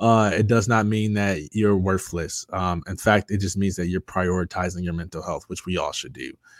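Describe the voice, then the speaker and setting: A man speaks with a very deep, low pitch and fairly even intonation at a moderate pace. The recording is very clean, with a silent background. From Michigan (Jackson). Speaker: motivational speaker and author, former college football player. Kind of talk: casual interview, testimony.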